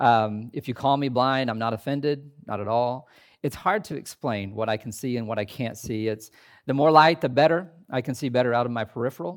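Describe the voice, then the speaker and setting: With an American accent, a man talks in a plain, everyday voice at a fairly quick pace, medium in pitch with ordinary pitch variation. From US Midwest, southern Indiana. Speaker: pastor. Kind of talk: sermon. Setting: chapel with audience.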